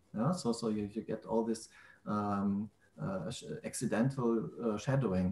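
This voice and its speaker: A man speaks at a moderate pace, somewhat breathy. Audible room echo surrounds his voice. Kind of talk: technical explanation in a group call. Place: home room. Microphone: video call.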